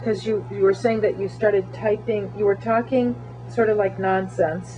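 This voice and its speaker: A woman speaking at a moderate pace with music in the background. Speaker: interviewer, ethnographic researcher. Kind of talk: interview questions.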